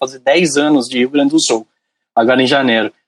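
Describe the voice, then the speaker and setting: At a very fast pace, a man speaks with ordinary pitch variation in a dry, close sound with no echo. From Brazil, São Paulo city. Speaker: podcast guest, technical consultant. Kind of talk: casual podcast interview.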